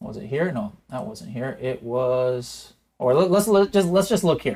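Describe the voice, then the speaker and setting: A man is talking here. There is some breathiness in his voice. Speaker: e-commerce software educator and podcast host. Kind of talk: live software tutorial. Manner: unscripted, zero prep; animated.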